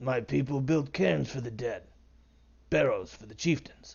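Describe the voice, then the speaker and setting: In a put-on character voice, a raspy-sounding man speaks at a moderate pace with big swings in loudness. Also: medium pitch for a man. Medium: read story.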